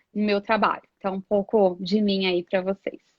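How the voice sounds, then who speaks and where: A woman with a medium-pitched voice talks at a moderate pace. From Brasília, Brazil. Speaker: HR professional and coach. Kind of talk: live interview.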